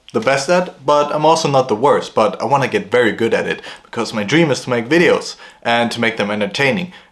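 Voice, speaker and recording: Noticeable background noise fills the recording. Against it, a man talks at a fairly quick pace. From Germany. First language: German. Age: 20s. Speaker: vlogger. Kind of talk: casual vlog monologue. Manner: hesitant with fillers.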